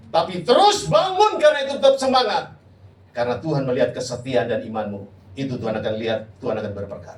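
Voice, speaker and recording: A man with a fairly high pitch talks at a fairly quick pace. Room echo and noticeable background noise can be heard. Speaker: pastor. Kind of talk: sermon. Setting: church. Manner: loud; animated.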